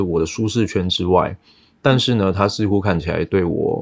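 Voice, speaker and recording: Speaking at a fairly quick pace, a man uses a plain, everyday voice pitched fairly low. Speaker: data analytics director. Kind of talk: casual interview.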